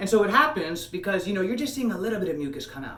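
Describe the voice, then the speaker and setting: A man is speaking in a room with audible echo. Noticeable background noise is present as well. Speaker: health coach, video blogger. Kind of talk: casual monologue to camera. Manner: fast, hyped; many fillers, halting.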